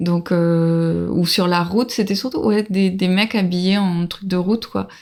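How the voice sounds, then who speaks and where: Here a woman with a medium pitch speaks at a fairly slow pace. Her intonation is fairly even, and the recording is very clean with a silent background. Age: 30s. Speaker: traveler. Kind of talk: casual chat. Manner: halting.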